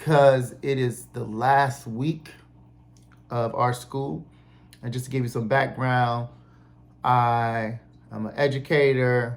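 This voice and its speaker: A man with an American accent talks at a very slow pace. He leaves long, frequent pauses and keeps fairly even intonation. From Cleveland, Ohio. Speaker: English teacher and indie musician. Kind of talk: podcast talk. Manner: casual, conversational.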